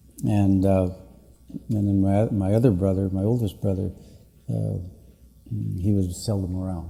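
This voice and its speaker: Music plays in the background of a recording with audible room echo. A man with a Canadian accent speaks fairly slowly in a fairly low voice with fairly even intonation. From northwestern Ontario, Canada. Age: 60s. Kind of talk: public address. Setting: conference meeting with audience. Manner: halting, many fillers.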